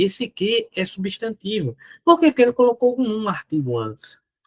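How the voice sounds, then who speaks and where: Recorded dry and close with no echo, a man talks fairly slowly with very wide pitch swings. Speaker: teacher. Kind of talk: lecture. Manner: animated.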